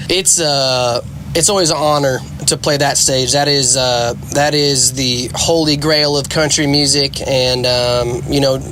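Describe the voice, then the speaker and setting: Fairly slow, fairly evenly intoned speech at very even loudness, with noticeable background noise and audible room echo. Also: man, fairly high pitch for a man. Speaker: country singer. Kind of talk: interview.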